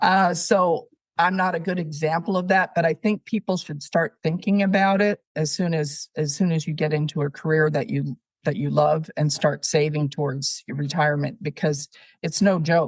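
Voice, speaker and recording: The voice is somewhat breathy and moves at a moderate pace, recorded dry and close with no echo against a quiet background. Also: woman, fairly low pitch for a woman, ordinary pitch variation. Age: 70s. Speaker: retired higher education leader and children's author. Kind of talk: casual interview. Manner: hesitant, many fillers.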